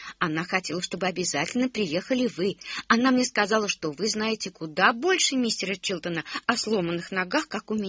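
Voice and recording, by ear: The text is read aloud in a natural voice.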